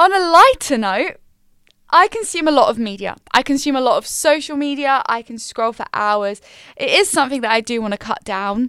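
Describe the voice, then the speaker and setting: A high-pitched woman with an English accent, bright and sharp in tone, moderate in pace with very wide pitch swings, in a dry, close, echo-free, very clean recording over a silent background. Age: 20s. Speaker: podcast host and university student. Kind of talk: casual solo chat.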